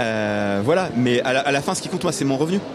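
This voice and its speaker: A man's medium-pitched voice amid noticeable background noise and audible room echo. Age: 40s. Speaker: organic market gardener. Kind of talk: radio panel discussion. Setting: live broadcast from an agricultural fair stand.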